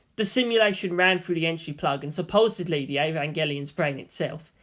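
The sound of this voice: The tone is fairly bright, with ordinary pitch variation. The pace is fairly quick.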